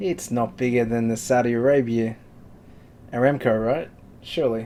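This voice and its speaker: Speaking at a moderate pace in an Australian accent, a man of medium pitch has a dark, mellow tone and ordinary pitch variation. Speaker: forex trading live stream host. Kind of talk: casual live market commentary. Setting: live stream.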